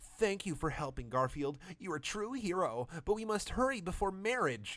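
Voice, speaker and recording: A man speaks in a put-on character voice, pitched high. His pitch swings very widely. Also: moderate pace. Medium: read story. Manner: broken English, dramatic.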